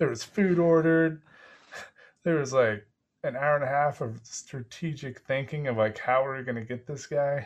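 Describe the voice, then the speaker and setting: Over a quiet background, a man with a plain, everyday voice talks at a moderate pace, fairly high in pitch, with ordinary pitch variation. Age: 30s. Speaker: podcast host. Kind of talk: casual interview.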